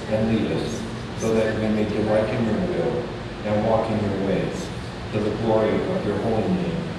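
Audible room echo and loud background noise surround the voice. A man speaks at a fairly slow pace with ordinary pitch variation. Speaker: pastor leading worship. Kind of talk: liturgical reading. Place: church.

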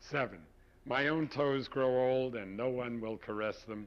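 An unremarkable speaking voice from a man, fairly slow, with ordinary pitch variation. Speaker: poet. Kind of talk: poetry reading, performed poem. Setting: studio. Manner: measured, intimate, confessional.

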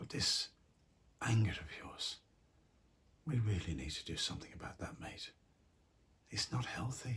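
The speaker is a man who whispers. He keeps to a moderate speed. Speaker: actor playing a grandfather figure. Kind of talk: acted monologue to a teenager. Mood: warm, gently concerned.

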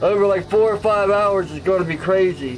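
A man's high pitch with ordinary pitch variation, faint music in the background. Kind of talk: casual vlog chat. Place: workshop.

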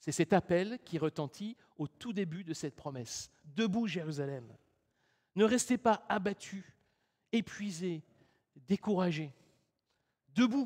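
Against a quiet background, a man with a high voice speaks very slowly, leaving long, frequent pauses. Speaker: preacher. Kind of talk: sermon. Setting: church. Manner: formal, earnest, measured preaching tone. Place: church.

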